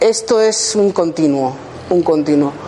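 Very slow speech from a woman with a very deep, low pitch, set against noticeable background noise. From Basque Country, Spain (Gipuzkoa). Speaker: healing therapist. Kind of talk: workshop talk. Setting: room with live audience. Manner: halting.

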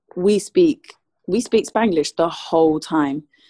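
Against a quiet background, a woman with a medium pitch and lively intonation speaks at a fairly slow pace in a dry, close sound with no echo. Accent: London. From London, England. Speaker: singer. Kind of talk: interview.

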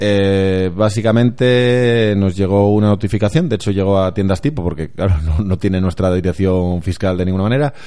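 A man in an ordinary speaking voice, fairly low-pitched, at a moderate pace with hardly any pauses, very even loudness and ordinary pitch variation. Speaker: football podcast co-host. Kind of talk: casual chat.

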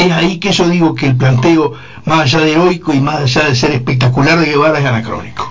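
A man's fairly high voice with a Uruguayan accent at a very fast pace, fairly even intonation and very even loudness, with audible room echo and music in the background. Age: 60s. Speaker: retired philosophy teacher. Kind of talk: panel debate.

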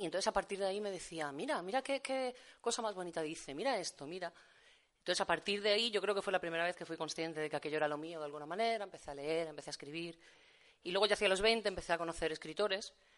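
A very fast pace with ordinary pitch variation. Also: woman, fairly low pitch for a woman, quiet background. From Valencia, Spain. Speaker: poet and literature teacher. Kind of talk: poetry reading and talk. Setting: venue with live audience.

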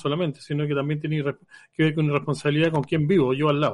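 Pitched fairly high, a man talks at a very fast pace. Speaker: radio host. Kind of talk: casual radio panel discussion.

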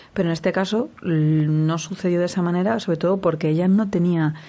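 Against a quiet background, a woman with a dark, mellow tone speaks at a fairly quick pace with fairly even intonation. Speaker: radio host and sexologist. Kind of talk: radio talk show interview. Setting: radio studio.

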